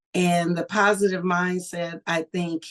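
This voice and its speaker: In an American accent, an unremarkable speaking voice moves at a fairly slow pace with fairly even intonation. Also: woman. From California, US. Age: 60s. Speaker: cancer survivor and school social worker. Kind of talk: personal testimony.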